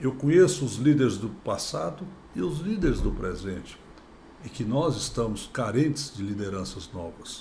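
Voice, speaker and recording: A man's dark, mellow voice at a medium pitch and moderate pace, with vocal fry, very wide pitch swings and audible room echo. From Brazil, Goiás/Tocantins. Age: 60s. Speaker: politician, former state governor. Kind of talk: podcast interview.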